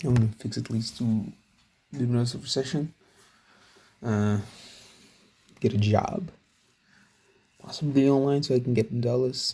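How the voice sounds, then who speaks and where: A man's dark, mellow, somewhat breathy voice at medium pitch, moderate in pace, with ordinary pitch variation and long, frequent pauses. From outside English-speaking world, metric country. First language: not English. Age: 20s. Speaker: self-improvement vlogger. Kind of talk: casual vlog monologue. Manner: halting, many fillers.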